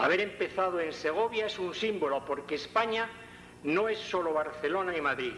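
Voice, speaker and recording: A high-pitched man at a moderate pace with ordinary pitch variation, against noticeable background noise. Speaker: actor voicing a philosopher. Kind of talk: recreated speech.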